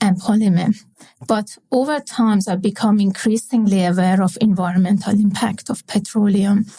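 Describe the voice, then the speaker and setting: In a Persian accent, the somewhat breathy voice moves at a moderate pace with a dark, mellow tone and fairly even intonation. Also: woman. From Iran. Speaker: industrial chemist. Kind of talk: interview. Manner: halting, many fillers.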